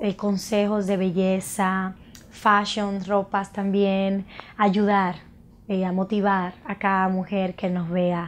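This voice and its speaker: A woman's very slow delivery with fairly even intonation. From Dominican Republic, Santo Domingo; Dominican Republic. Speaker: makeup artist and cosmetics entrepreneur. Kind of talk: personal introduction to camera. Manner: halting, with frequent fillers. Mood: warm, proud. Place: studio.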